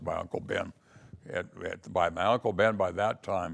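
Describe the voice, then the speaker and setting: A man speaks at a fairly slow pace. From California, Stockton. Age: 80s+. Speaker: family storyteller. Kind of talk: oral history interview. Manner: halting.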